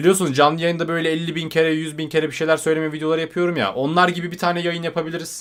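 A man speaks very fast and high-pitched in an animated tone, with hardly any pauses. The recording is very clean, with a silent background. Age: 20s. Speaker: YouTuber. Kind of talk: livestream chat.

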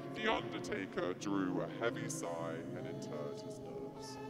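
A woman's fairly slow speech over loud background music. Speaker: spoken word performer. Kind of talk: performance poetry reading. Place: stage. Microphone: handheld.

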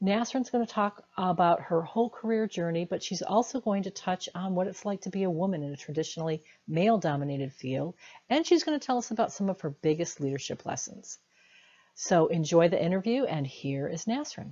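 Dark and mellow in tone yet somewhat breathy, the voice moves at a fairly quick pace with lively intonation. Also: woman, medium pitch for a woman. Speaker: career coach and interviewer. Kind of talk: interview.

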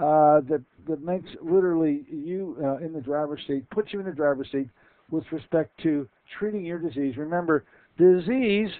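Here a man talks at a moderate pace with ordinary pitch variation. His pitch is fairly high, and the background is quiet. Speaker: radio host. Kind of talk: radio show interview. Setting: radio studio. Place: studio. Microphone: headset.

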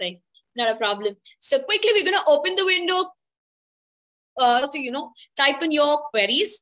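A woman with an Indian accent speaks in a raised, projected, high voice at a moderate pace. Her pitch swings very widely, and she takes long, frequent pauses. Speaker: webinar host. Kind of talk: live webinar hosting. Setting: video call. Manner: frequent fillers.

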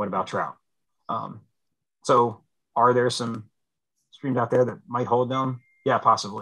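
In an American accent, a man speaks at a fairly slow pace with long, frequent pauses, against a quiet background. His medium-pitched voice has a bright, sharp tone and monotone, flat intonation. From central Pennsylvania. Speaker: fisheries biologist; guest. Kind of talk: presentation. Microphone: video call.

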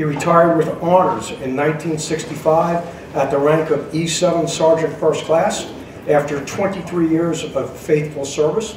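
A man's very slow speech with audible room echo and light background noise. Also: fairly even intonation. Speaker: honor flight volunteer announcer. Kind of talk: public announcement reading. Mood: solemn, respectful tribute. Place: station. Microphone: pa.

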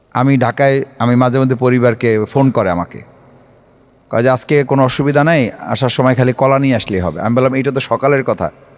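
A man speaks in an ordinary speaking voice at medium pitch, with ordinary pitch variation. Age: 40s. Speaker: politician. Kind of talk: public speech.

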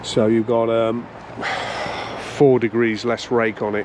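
A man talks at a fairly slow pace. The sound is dry with no echo, and there is light background noise. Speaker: motorcycle reviewer. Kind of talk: casual vlog review. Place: waterside. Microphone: phone near.

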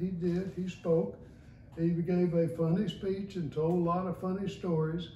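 The voice has a dark, mellow tone and a moderate pace, heard with audible room echo and light background noise. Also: man. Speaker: retired lawyer and judge, law school alumnus. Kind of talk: oral history recollection. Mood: relaxed, reminiscing. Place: home room. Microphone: camera far.

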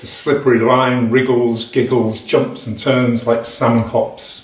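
Over audible room echo, a man of medium pitch speaks at a fairly slow pace with fairly even intonation. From England, Nottinghamshire. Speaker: poet. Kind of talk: poetry reading of a dense, rhythmic, imagistic free-verse poem. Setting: home recording to camera. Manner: hesitant, filler-laden intro before the poem; rhythmic, percussive delivery of tumbling word lists. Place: home room. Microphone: webcam.

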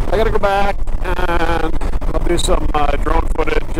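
Noticeable background noise sits beneath a man who talks at a fairly slow pace. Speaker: motorcycle vlogger. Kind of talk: casual vlog chat. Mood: relaxed, slightly grumbling. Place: motorbike.

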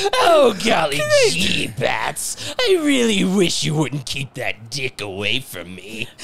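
A man's cartoonish character voice, fairly high in pitch and fairly slow in pace. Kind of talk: cheap cartoonish voice. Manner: mockingly sweet, gee-whiz.

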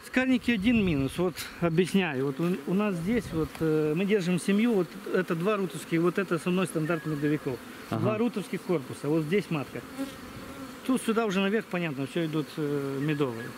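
The speech comes at a moderate pace, dry with no echo, over noticeable background noise. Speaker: beekeeper host. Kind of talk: interview answer. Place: open country. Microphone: phone near.

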